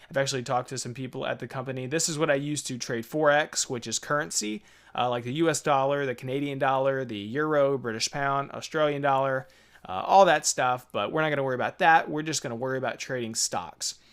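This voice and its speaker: A man talks at a very fast pace and medium pitch. His intonation is fairly even, and the recording is very clean with a silent background. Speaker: trading tutorial youtuber. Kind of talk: tutorial. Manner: casual, filler-heavy.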